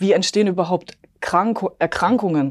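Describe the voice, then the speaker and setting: On a very clean recording with a silent background, a woman uses a plain, everyday voice, fairly low in pitch, with lively intonation. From Bavaria, near Munich. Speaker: epigenetics coach and nutrition advisor. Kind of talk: interview, personal testimony.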